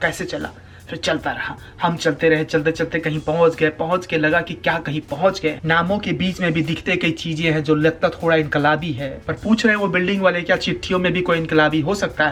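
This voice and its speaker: Fairly even intonation from a man with a high voice, moving at a moderate pace. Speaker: spoken word poet. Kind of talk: spoken word poetry performance.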